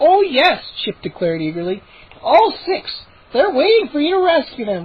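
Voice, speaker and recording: A woman in a put-on character voice, pitched high, swings her pitch very widely at a moderate pace. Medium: read story. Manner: pleading, eager.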